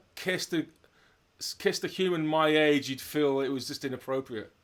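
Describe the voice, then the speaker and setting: Recorded very cleanly with a silent background, a man with a fairly high pitch and an unremarkable speaking voice talks at a moderate pace. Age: 50s. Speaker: drummer and interview host, retired doctor. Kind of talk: casual chat.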